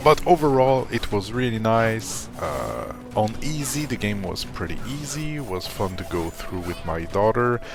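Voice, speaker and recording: A man speaks at a fairly slow pace with hardly any pauses, in a medium pitch with lively intonation. Audible room echo and music in the background surround him. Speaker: gaming youtuber. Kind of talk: casual video commentary. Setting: at home, living room. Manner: soft-spoken, ASMR-like quiet.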